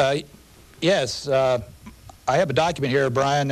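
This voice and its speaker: A man with a US Midwestern accent at a moderate pace. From Indiana, Anderson. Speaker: historian and documents editor. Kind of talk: TV interview.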